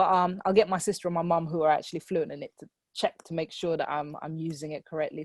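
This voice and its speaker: With a British accent and a fairly low pitch, a woman is heard in a dry, close sound with no echo over a quiet background. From Hausa-speaking West Africa, moved to UK as child. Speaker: poet. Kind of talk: spoken word poetry performance.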